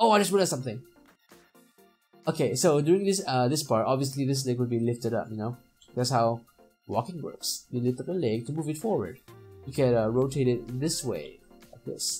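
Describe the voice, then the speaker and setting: A man with a non-native accent and lively intonation, talking at a fairly quick pace with long, frequent pauses, music in the background. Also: medium pitch for a man. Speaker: animator. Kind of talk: software tutorial narration. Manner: casual, hesitant.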